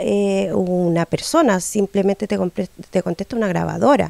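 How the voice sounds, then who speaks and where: A woman speaks at a very slow pace. The sound is dry with no echo, over a quiet background. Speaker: local resident. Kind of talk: interview. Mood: frustrated complaint. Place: home room. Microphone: handheld.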